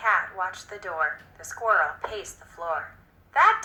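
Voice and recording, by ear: Text is being read out loud. It comes across in a natural voice.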